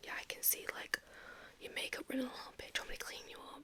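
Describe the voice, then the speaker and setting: A woman whispering at a fairly quick pace. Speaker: ASMR creator. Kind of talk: ASMR roleplay, personal attention. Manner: soft-spoken, whispering.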